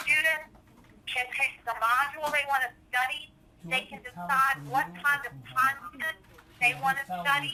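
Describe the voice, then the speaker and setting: With a raised, projected voice, a woman speaks at a high pitch and fairly slow pace, her intonation lively. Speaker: software trainer. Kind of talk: tutorial.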